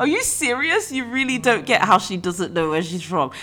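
Music plays in the background as a woman speaks at a fairly quick pace. Her pitch swings very widely. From Nigeria. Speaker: podcast host. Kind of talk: casual chat.

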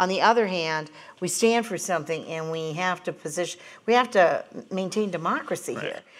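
A woman with an unremarkable speaking voice talks at a fairly quick pace, medium in pitch with ordinary pitch variation. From Montana. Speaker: pollster and political strategist. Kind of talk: panel discussion. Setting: stage with live audience.

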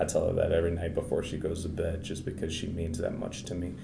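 Through audible room echo, a man with an American accent speaks in a very deep, low pitch. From Maryland, US. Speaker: Paralympic wheelchair basketball player. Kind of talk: interview.

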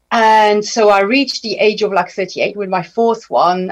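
Speaking at a moderate pace with a French accent, a woman uses a medium pitch with ordinary pitch variation. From France. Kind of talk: radio interview. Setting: radio studio.

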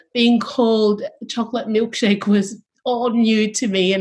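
Speaking at a very slow pace, a woman uses a medium pitch, a somewhat breathy voice and fairly even intonation. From Sydney, western suburbs (Tongan-born, arrived age 9). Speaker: university chaplain and deacon. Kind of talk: panel conversation.

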